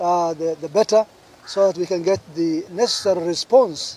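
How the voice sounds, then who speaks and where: A high-pitched man at a moderate pace with fairly even intonation. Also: dry sound with no echo. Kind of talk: press statement. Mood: serious, urgent appeal. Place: garden. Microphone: podium.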